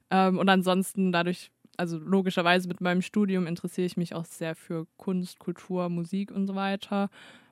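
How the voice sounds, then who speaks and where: Her medium-pitched voice stays flat and monotone as the woman talks. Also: moderate pace, dry, close sound with no echo. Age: 20s. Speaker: radio intern, student. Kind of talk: casual chat.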